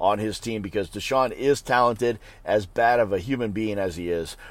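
Against a silent background in a very clean recording, a man talks fairly quickly in an ordinary speaking voice with ordinary pitch variation. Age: 40s. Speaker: fantasy football podcast host. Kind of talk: casual solo commentary. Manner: casual, with fillers and profanity.

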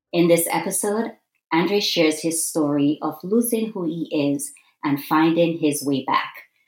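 A woman talks at a moderate pace in a normal speaking voice with ordinary pitch variation. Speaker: podcast host. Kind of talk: interview.

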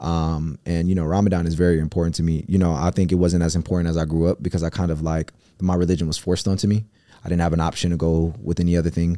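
Very fast and monotone, a man speaks with flat intonation and very even loudness. His pitch is very deep, his tone dark and mellow. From US Midwest, Cleveland, Ohio. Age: 20s. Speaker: entrepreneur. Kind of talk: casual chat.

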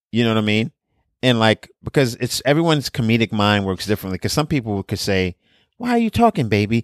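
Speaking at a very fast pace, a man talks with a New York accent. The sound is dry and close with no echo, on a very clean recording with a silent background. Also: medium pitch for a man, ordinary pitch variation. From Brooklyn, New York. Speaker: comedian and podcast co-host. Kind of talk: casual chat.

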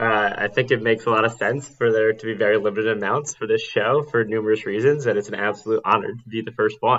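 With an American accent, a man speaks in an unremarkable speaking voice at a fairly low pitch and a fairly quick pace. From New York City (Manhattan). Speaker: podcast guest. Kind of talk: casual chat.

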